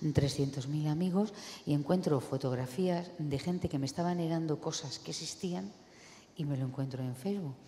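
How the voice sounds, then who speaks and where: A woman with a very deep, low voice is heard with audible room echo. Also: ordinary pitch variation, moderate pace. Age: 60s. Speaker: audience member. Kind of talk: audience question. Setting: lecture hall with audience.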